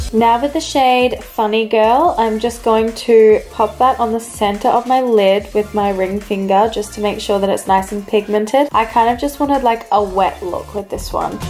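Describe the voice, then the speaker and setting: Speaking at a moderate pace with hardly any pauses, a woman with a fairly high pitch is heard over noticeable background noise. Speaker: beauty vlogger. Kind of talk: tutorial. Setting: voice-over. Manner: flat, unenthusiastic-sounding.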